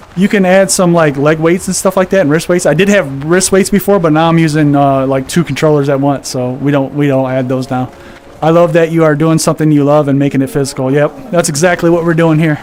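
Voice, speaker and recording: Over noticeable background noise, a man with a fairly high pitch talks at a very fast pace with hardly any pauses, very even loudness and ordinary pitch variation. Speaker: gaming streamer. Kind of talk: live stream chat.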